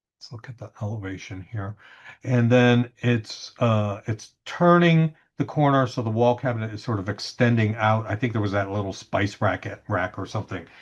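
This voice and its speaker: A man with an unremarkable speaking voice talks at a moderate pace and medium pitch, with ordinary pitch variation and big swings in loudness over a quiet background. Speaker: CAD drawing instructor. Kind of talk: tutorial. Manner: casual with many fillers and repetitions.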